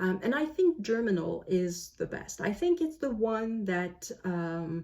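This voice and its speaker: A woman with a French Canadian accent speaks at a fairly slow pace, her tone dark and mellow, her intonation lively. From Canada. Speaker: book vlogger. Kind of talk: casual monologue. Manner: hesitant, with many fillers.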